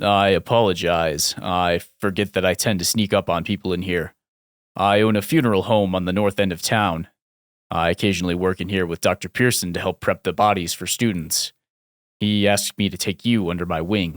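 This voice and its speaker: Using a put-on character voice, a man booms at a very deep, low pitch, speaking at a fairly quick pace with fairly even intonation, in a dry, close sound with no echo. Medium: read story. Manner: formal, polite.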